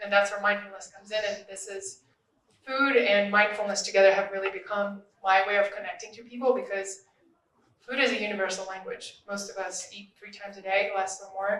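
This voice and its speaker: In a Russian accent, a woman talks at a medium pitch with monotone, flat intonation and big swings in loudness. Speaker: social media influencer and podcaster. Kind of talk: panel discussion.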